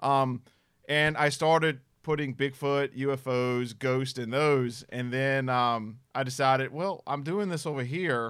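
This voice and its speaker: In a Southern US accent, a man talks at a fairly slow pace and a medium pitch. His intonation is fairly even, and the recording is very clean, with a silent background. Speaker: paranormal investigator. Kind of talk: casual chat.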